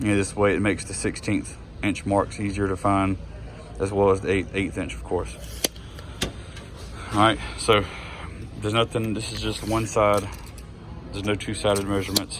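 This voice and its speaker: Speaking with long, frequent pauses, a man uses a fairly low pitch and ordinary pitch variation over noticeable background noise. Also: moderate pace. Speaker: tool reviewer. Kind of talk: casual product walkthrough. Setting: in a hardware store. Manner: hesitant, many fillers.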